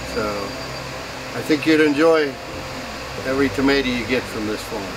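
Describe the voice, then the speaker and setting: A man with a fairly high voice and ordinary pitch variation talks fairly quickly, with audible room echo and noticeable background noise around him. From western Pennsylvania. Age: 60s. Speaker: farmer. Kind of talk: casual farm tour talk. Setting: outdoors on the farm and in greenhouses.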